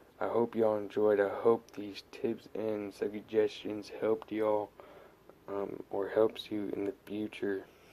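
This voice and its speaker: Quiet and fairly slow, a man speaks at a fairly low pitch with a dark, mellow tone and monotone, flat intonation. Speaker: RC hobby YouTuber. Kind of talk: casual tutorial. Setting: at home late at night. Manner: quiet, subdued.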